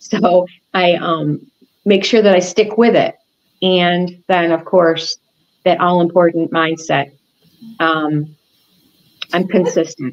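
The speech moves at a very slow pace with long, frequent pauses. Intonation stays fairly even. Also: woman, fairly low pitch for a woman. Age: 60s. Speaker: interview guest. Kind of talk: interview answer. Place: home room.

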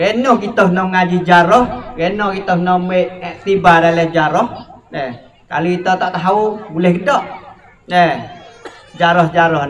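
Pitched high for a man, his speech moves at a fairly slow pace with long, frequent pauses over light background noise. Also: ordinary pitch variation. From Thailand. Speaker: moderator. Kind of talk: moderated discussion. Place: hall. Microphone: handheld.

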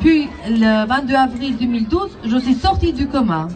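A woman's voice with ordinary pitch variation over crowd noise in the background. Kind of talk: prepared public testimony. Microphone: pa.

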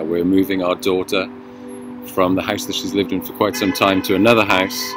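A man's very deep, low voice, dry with no echo, over music in the background. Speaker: devotional host. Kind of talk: devotional reflection. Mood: calm, reflective. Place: car. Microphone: phone near.

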